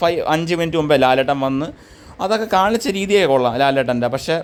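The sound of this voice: Lively in intonation, a man with a fairly high pitch and a clear, smooth tone talks at a fairly quick pace.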